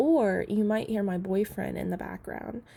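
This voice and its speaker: This is a very clean recording with a silent background. A woman speaks at a moderate pace in a dark, mellow tone. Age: 20s. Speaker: personal finance youtuber. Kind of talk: budgeting tutorial. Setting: home apartment. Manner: soft-spoken; casual with fillers. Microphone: laptop mic, keyboard louder than voice.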